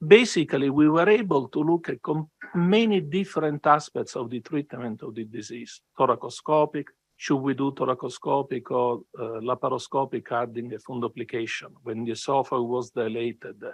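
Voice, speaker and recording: A man at medium pitch and moderate pace, ordinary pitch variation, hardly any pauses, dry close sound with no echo, and a quiet background. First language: not English. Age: 60s. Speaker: surgeon. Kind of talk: lecture. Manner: halting.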